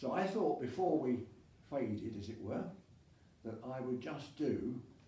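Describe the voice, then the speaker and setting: A man at a very slow pace, lively intonation over noticeable background noise. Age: 80s+. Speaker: masters rower. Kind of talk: casual talk to camera.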